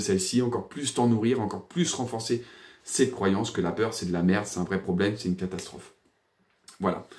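A man talks at a fairly quick pace. His pitch sits fairly low. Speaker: personal development coach and energy therapist; therapist or coach. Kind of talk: casual video monologue. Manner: hesitant, many fillers; animated. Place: home room. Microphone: phone near.

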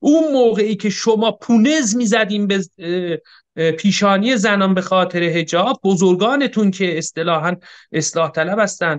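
A high-pitched man at a moderate pace, with lively intonation and a quiet background. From Iran. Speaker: political analyst and history researcher; political analyst. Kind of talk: political debate. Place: home room. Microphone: webcam.

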